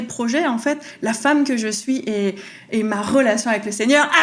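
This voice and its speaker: With noticeable background noise, a woman speaks at a fairly slow pace in a fairly high voice with ordinary pitch variation. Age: 30s. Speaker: faith podcaster. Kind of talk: testimony. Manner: animated.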